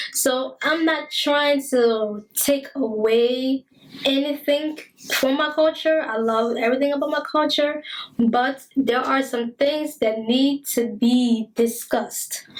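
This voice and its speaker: High female voice with a Liberian accent, very slow, with ordinary pitch variation. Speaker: talk show host. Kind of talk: monologue commentary. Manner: repetitive emphatic.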